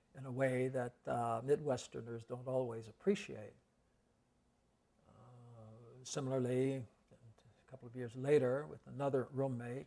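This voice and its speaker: Speaking at a fairly slow pace with long, frequent pauses, a man with an American accent has a dark, mellow tone, medium pitch and big swings in loudness. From Evanston, Illinois. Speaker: Episcopal cathedral dean. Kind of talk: oral history interview answer.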